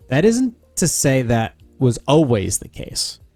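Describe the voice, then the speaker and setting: A man's pitch swings very widely while music plays behind him. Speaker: podcaster. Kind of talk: reading aloud. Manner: soft-spoken.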